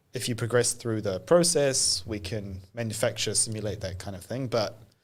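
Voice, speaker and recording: A man's somewhat breathy voice with a British accent. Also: medium pitch for a man, ordinary pitch variation, moderate pace. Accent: British-sounding. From New Zealand. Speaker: AI evangelist, data science leader. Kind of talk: podcast interview.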